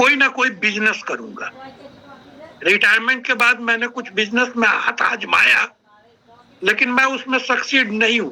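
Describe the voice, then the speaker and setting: This man's voice sits at an extremely high pitch. He speaks in a raised, projected voice. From India, Bihar (Sitamarhi district). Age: 60s. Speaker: retired army officer, network marketing speaker. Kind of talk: online training interview, personal story.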